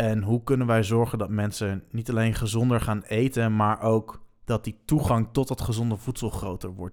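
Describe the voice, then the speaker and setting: On a very clean recording with a silent background, a man at medium pitch speaks at a moderate pace with monotone, flat intonation. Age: 20s. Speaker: student and drummer. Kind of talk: podcast interview.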